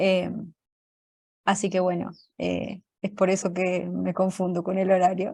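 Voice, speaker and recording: Speaking at a fairly slow pace, the voice stays monotone and flat, broken by long, frequent pauses. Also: woman, medium pitch for a woman. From Colombia. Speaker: programming teacher. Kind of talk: online class lecture.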